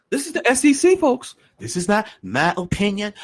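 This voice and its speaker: At a moderate pace, a man speaks in a high pitch, captured in a very clean recording with a silent background. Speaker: podcast host. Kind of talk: podcast commentary reading legal document. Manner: animated.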